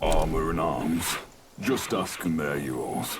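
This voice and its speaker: Putting on a character voice, a man speaks at a fairly slow pace with a very deep, low pitch over clear background noise. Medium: video game. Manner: terse, sing-song rhymes.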